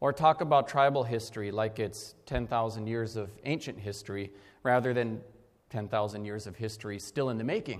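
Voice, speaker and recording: A man with an Upper Midwest accent. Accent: Upper Midwest (Minnesota). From Minnesota, Leech Lake. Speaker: historian and professor. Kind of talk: keynote lecture.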